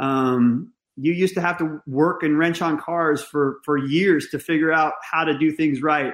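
With a plain, everyday voice and an American accent, a man speaks at a fairly high pitch and a fairly slow pace, with hardly any pauses and fairly even intonation, over a quiet background. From US West Coast, Northern California. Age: 40s. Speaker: fire service training chief. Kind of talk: casual interview chat.

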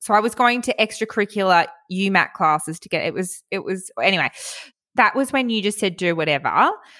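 With an Australian accent, the speaker moves at a fairly quick pace, showing ordinary pitch variation and big swings in loudness. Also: woman, medium pitch for a woman. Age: 30s. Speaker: podcast host. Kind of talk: casual chat.

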